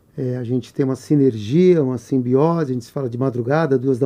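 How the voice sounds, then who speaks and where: A man has a normal speaking voice at a medium pitch. He talks at a moderate pace with ordinary pitch variation. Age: 60s. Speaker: businessman and mentor. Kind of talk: podcast interview.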